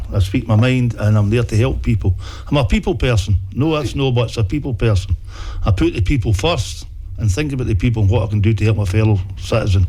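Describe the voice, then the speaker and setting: Speaking at a very fast pace in an Ayrshire accent, a man uses a fairly low pitch with ordinary pitch variation and very even loudness. Noticeable background noise runs underneath. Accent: Ayrshire Scottish. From Scotland, Ayrshire (Dalrymple, Doon Valley). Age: 60s. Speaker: local councillor. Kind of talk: interview. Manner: halting.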